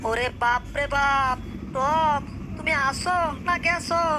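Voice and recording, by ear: A cartoonish character voice moves at a fairly slow pace over loud background noise.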